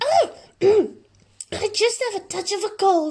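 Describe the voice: In a put-on character voice, the speaker sounds squeaky and extremely high-pitched while talking at a very slow pace.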